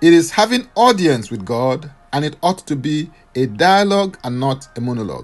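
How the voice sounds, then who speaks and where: A man with a fairly high pitch swings his voice very widely up and down. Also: moderate pace. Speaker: podcast host and minister. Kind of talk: devotional sermon with fervent declaration prayer. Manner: fervent, earnest, prayerful; formal, preaching cadence.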